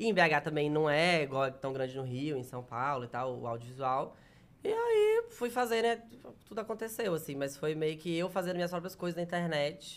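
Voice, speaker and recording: Lively intonation marks a man's fairly high voice, delivered in a normal speaking voice. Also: moderate pace. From Minas Gerais, Brazil (near Bahia border). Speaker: comedian. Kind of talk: casual chat.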